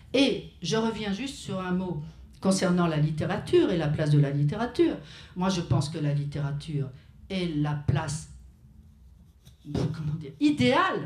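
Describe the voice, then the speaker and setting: With audible room echo, a woman speaks at a fairly slow pace and fairly low pitch, leaving long, frequent pauses. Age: 70s. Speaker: writer. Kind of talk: panel discussion at a memorial tribute. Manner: hesitant, with frequent restarts.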